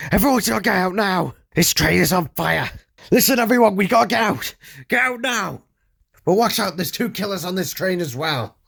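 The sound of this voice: Shouting in a put-on character voice, a man pitches high with lively intonation. There is vocal fry and a slightly husky edge. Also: moderate pace.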